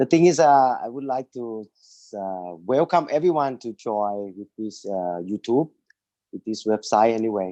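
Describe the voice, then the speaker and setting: A man speaks slowly, at a medium pitch, in a dark, mellow tone with lively intonation and big swings in loudness. The sound is dry and close with no echo, over a quiet background. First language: Thai. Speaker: business owner. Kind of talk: webinar presentation.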